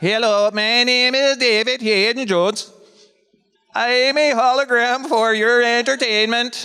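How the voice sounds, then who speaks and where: A man puts on a robotic character voice. It is extremely high in pitch, at a moderate pace. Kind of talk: announcement-like, formal.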